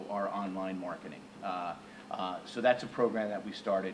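A man's flat, monotone delivery against noticeable background noise. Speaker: company executive. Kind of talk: interview. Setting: stage with audience. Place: hall. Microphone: camera far.

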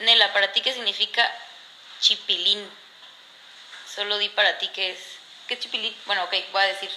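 At a fairly quick pace with long, frequent pauses, a woman talks in a medium pitch and fairly even intonation over light background noise. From Mexico, La Paz, Baja California Sur. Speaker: reality competition contestant. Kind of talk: casual livestream chat. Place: home room. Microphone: phone near.

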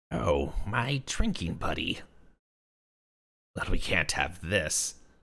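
A man uses a put-on character voice, raspy and very deep in pitch. He speaks at a very slow pace. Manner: odd, whimsical, sly.

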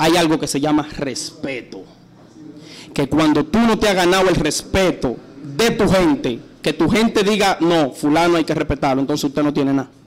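At a moderate pace, a man talks with very even loudness, a fairly high pitch and ordinary pitch variation. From San Pedro (Dominican Republic). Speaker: urban music artist, interview guest. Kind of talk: radio interview answer, heated and opinionated. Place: studio. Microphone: studio mic.

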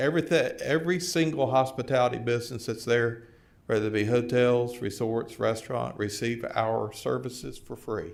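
In a Tennessee accent, a man talks with ordinary pitch variation. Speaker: tourism organization president. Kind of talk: formal presentation. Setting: county board meeting.

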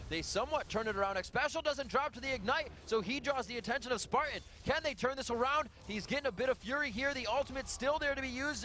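Amid noticeable background noise, a man speaks in a raised, projected voice with an excited, animated tone at an extremely high pitch, with ordinary pitch variation and a very fast pace. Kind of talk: esports play-by-play commentary. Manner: animated, fast play-by-play; excited, rapid-fire calls of fights.

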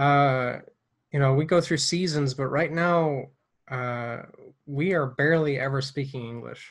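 A man's fairly high-pitched voice with fairly even intonation, a fairly slow pace, and long, frequent pauses against a quiet background. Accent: American. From United States. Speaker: missionary and podcast host. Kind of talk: casual interview. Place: home room. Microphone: earbuds.

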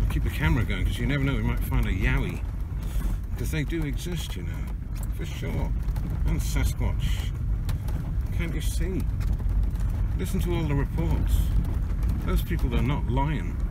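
Loud background noise fills the recording. The speech moves at a moderate pace. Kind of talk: casual vlog chat. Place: car. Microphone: phone near.

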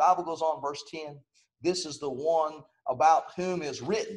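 A man talks at a fairly slow pace. The background stays quiet. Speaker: preacher. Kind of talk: sermon. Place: home room.

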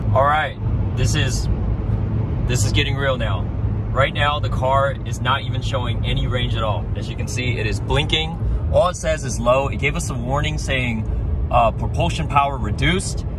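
A man at a moderate pace, dry sound with no echo, against noticeable background noise. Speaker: vlogger. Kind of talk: casual vlog chat. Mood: mild range anxiety, calm. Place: car. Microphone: phone near.

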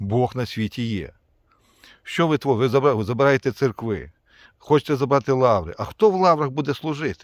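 A man of medium pitch with lively intonation and a moderate pace, in a very clean recording with a silent background and a dry, close sound with no echo. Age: 50s. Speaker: army officer, war veteran. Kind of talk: video appeal. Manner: emphatic, impassioned.

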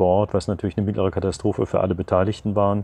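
A man's fairly low-pitched voice, dark and mellow in tone, with monotone, flat intonation. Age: 70s. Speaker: retired teacher, sailor and sea rescuer. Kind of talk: interview answer. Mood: calm, reflective, some hesitations. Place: garden. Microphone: lapel.

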